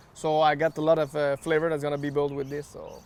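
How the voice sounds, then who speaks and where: This man speaks with a slight French Canadian accent. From Quebec. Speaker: barbecue accessory maker. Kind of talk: cooking demonstration. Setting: outdoors.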